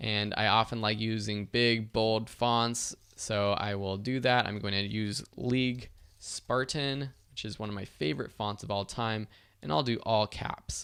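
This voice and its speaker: With an ordinary speaking voice, a man talks at a fairly slow pace with a fairly low pitch and fairly even intonation in a very clean recording with a silent background. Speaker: online course instructor. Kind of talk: tutorial.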